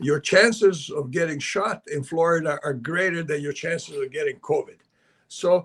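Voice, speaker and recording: With lively intonation, a man in a Serbian accent talks at a moderate pace and a high pitch. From Canada, born in Belgrade, Serbia. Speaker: investment advisor and author. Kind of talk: interview.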